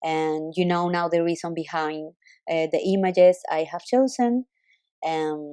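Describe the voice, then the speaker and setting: Her tone dark and mellow, a woman with a non-native accent speaks at a fairly slow pace and a fairly low pitch. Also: ordinary pitch variation. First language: not English. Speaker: web designer. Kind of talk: recorded screen walkthrough for a client. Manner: halting.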